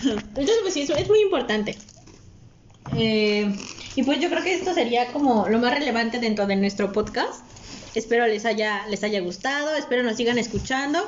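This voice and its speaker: A woman with a fairly high pitch talks at a moderate pace with lively intonation. Audible room echo and noticeable background noise fill the recording. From Mexico. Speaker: podcast host. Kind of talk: casual chat.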